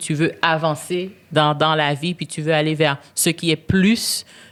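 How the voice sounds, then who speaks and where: A woman is speaking. Her pitch sits fairly low. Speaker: business executive and board member. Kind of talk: podcast interview. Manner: loud; hesitant, many fillers.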